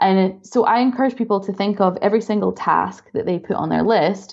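Speaking at a fairly quick pace in a Scottish accent, this voice carries noticeable vocal fry. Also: woman. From Scotland. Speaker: dessert blogger and business coach. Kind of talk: casual interview.

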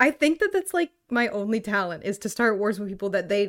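A woman speaks at a fairly quick pace in a fairly high pitch, her tone animated and her intonation lively. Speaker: podcast co-host. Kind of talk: casual chat.

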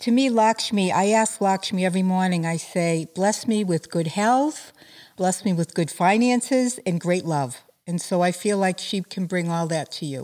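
A woman's unremarkable speaking voice, medium in pitch, at a moderate pace with ordinary pitch variation. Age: 60s. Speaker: spiritual healer and life coach. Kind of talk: interview.

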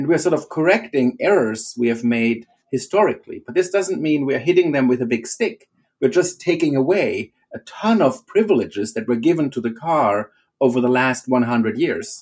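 A man with a German accent talks at a moderate pace in a fairly high pitch. His voice makes very wide pitch swings. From Germany. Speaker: professor. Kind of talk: interview.

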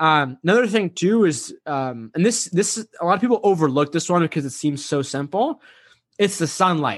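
Recorded dry and close with no echo against a quiet background, a man speaks at a moderate pace in a high pitch with lively intonation. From Massachusetts, US (child of Egyptian immigrants). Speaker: social anxiety coach and keynote speaker. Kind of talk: casual interview.

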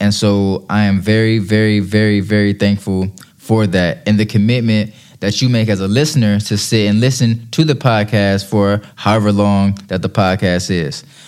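Over music in the background, a man with a fairly low pitch talks at a moderate pace, his loudness very even and his intonation fairly even. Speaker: podcast host. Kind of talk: solo podcast monologue. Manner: thankful, friendly.

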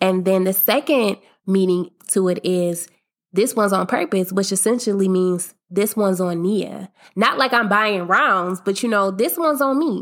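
On a very clean recording with a silent background, a woman in a plain, everyday voice speaks at medium pitch and a moderate pace, with ordinary pitch variation and very even loudness. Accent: American. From US Midwest (Akron, Ohio). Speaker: podcast host. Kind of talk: casual monologue. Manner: upbeat, laughs often.

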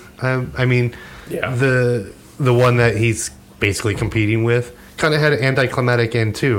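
The male speaker keeps a moderate pace and fairly even intonation. Noticeable background noise runs underneath. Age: 40s. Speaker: podcast co-host. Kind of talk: casual chat.

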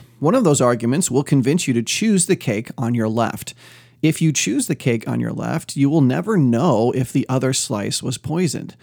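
Animated and theatrical, a man speaks at medium pitch and moderate pace with vocal fry and lively intonation, in a very clean recording with a silent background. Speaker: podcast host and ministry teacher. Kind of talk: dramatic narration of a cake parable, sermon-like teaching; devotional podcast teaching. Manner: animated, theatrical, playful and suspenseful; conversational, self-deprecating humor.

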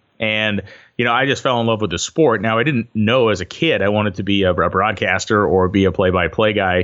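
With an ordinary speaking voice, a man talks fairly quickly at a fairly low pitch and with ordinary pitch variation. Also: very even loudness. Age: 40. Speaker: drag racing announcer and automotive writer. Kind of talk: casual interview. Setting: phone call.

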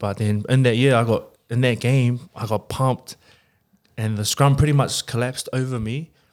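With a New Zealand accent, a man talks at a moderate pace with fairly even intonation. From New Zealand, Porirua (Wellington region). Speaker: rugby player. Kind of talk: casual chat.

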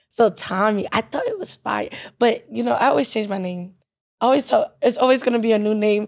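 A woman speaks at a fairly quick pace in a fairly high pitch. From Nigerian-American, spent early childhood abroad. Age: 20s. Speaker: podcast co-host. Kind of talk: casual chat.

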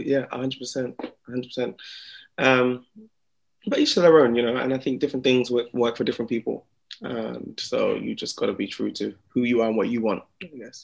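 With a London accent, a man talks at a moderate pace while his loudness swings widely. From Slough, England. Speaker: singer-songwriter. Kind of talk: interview.

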